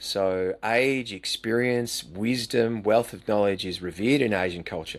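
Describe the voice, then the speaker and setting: A man with an Australian accent talks at a fairly slow pace with hardly any pauses, using a fairly low pitch and ordinary pitch variation. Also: very clean recording, silent background. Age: 60s. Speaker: retired teacher and coach. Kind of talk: interview conversation.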